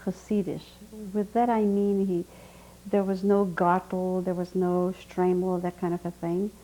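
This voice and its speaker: This woman has a dark, mellow tone. Her voice sounds dark and mellow. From Hungary. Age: 60s. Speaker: Holocaust survivor. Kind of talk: oral history testimony interview.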